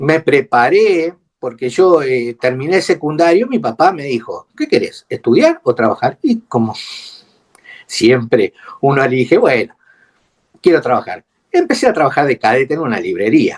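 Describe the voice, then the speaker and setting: A man speaking at a moderate pace, dry and close with no echo. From Argentina, Buenos Aires then Córdoba. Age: 60s. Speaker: retired air force mechanic, war veteran. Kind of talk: testimony interview. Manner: halting, many fillers.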